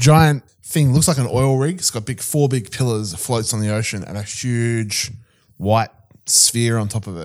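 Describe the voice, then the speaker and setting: A man's medium-pitched voice with a New Zealand accent and ordinary pitch variation. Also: moderate pace. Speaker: podcast co-host. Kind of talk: casual chat.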